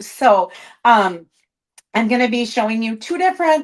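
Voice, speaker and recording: Using a plain, everyday voice, a woman talks at a moderate pace and a fairly high pitch with lively intonation. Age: 50s. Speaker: craft demonstrator. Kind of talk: live craft tutorial stream. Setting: live stream. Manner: casual, chatty.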